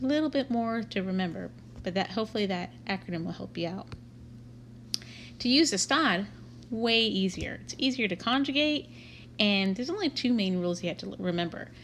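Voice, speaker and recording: With a Texan accent and vocal fry, a woman at a medium pitch speaks at a fairly quick pace with lively intonation and long, frequent pauses. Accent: Texan American English. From Texas, Waco. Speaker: Spanish teacher. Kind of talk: lecture. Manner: casual.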